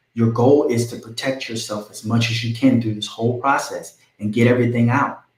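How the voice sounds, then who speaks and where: A somewhat breathy man speaks at a medium pitch and a moderate pace, his intonation monotone and flat. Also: big swings in loudness. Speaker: real estate agent. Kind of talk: live stream tutorial. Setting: live stream.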